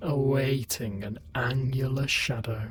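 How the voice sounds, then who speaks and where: The speaker uses a put-on character voice at a low-to-middle pitch and a fairly slow pace. Light background noise sits underneath. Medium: read story. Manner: terse, fragmentary interjections.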